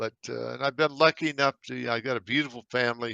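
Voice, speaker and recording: In an American accent, someone talks at a fairly quick pace with a bright, sharp tone, on a dry, close recording with no echo and a quiet background. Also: man. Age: 70s. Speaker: navy veteran. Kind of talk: interview. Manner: halting, repeats words.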